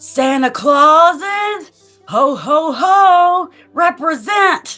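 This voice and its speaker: A put-on character voice at an extremely high pitch and a very slow pace, with faint music in the background. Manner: shouting, jolly.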